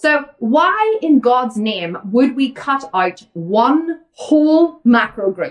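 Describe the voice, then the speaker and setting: The pitch swings very widely. The voice has an Irish accent. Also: woman. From Ireland. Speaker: vegan fitness coach. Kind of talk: Q&A livestream. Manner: fast; animated.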